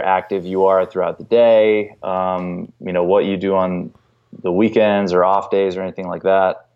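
This man has a normal speaking voice and an American accent. He talks at a moderate pace with a fairly low pitch. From North Carolina. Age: 30s. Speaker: fitness professional. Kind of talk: podcast interview.

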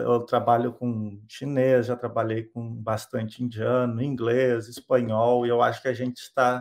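Recorded very cleanly against a silent background, a man talks at a moderate pace and medium pitch in a plain, everyday voice. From southern Brazil (Rio Grande do Sul). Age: 30s. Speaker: software developer. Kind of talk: interview.

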